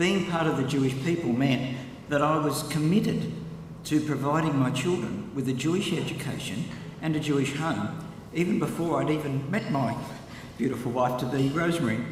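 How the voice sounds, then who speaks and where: With an Australian accent, a man with a fairly high pitch talks at a fairly quick pace, with ordinary pitch variation and very even loudness, amid audible room echo and noticeable background noise. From Australia, Newcastle NSW. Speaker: congregation member. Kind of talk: personal testimony speech. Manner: prepared, read from notes.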